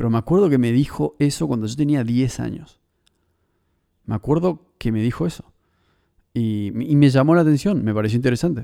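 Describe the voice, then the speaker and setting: Lively intonation marks this man's medium-pitched voice. He talks at a fairly quick pace but with long, frequent pauses. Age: 30s. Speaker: podcast host. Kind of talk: solo monologue podcast. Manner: halting, repeats words.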